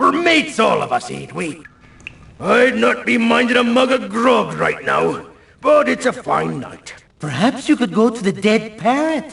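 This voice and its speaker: A man puts on a character voice at an extremely high pitch. He speaks at a moderate pace. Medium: video game. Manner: hearty, jokey.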